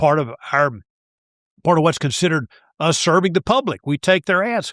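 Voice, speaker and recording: A high-pitched man with an East Texas accent talks at a fairly quick pace with lively intonation, the sound dry and close with no echo. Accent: East Texas Southern US. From East Texas (Tyler). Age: 60s. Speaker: sports broadcaster and radio talk host. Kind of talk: casual interview chat. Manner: animated, talks over host.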